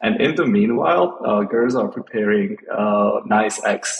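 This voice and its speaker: Man with a Slovak accent at a fairly slow pace. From Slovakia. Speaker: interview guest sharing home tradition. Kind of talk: casual interview. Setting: California. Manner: halting, many fillers and repeats.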